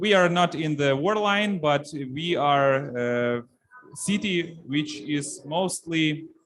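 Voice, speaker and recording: Talking at a very slow pace, a man with a fairly high pitch speaks in a Ukrainian accent. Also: ordinary pitch variation. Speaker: city official. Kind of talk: conference presentation. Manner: halting.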